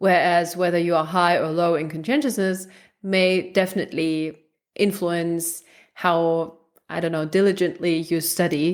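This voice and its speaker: With a German accent, a woman speaks at a moderate pace in a fairly low voice with fairly even intonation, recorded very cleanly against a silent background. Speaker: research psychologist. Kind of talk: interview conversation.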